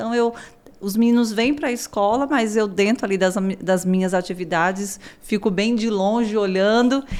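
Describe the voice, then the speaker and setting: Her pitch sits at a medium level for a woman, with ordinary variation. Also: moderate pace. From São Paulo, Brazil. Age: 30s. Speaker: school director and family therapist. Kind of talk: podcast interview.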